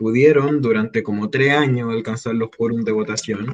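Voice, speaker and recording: A man in a Chilean accent at a moderate pace, with ordinary pitch variation. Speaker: former student activist spokesperson. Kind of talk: casual interview.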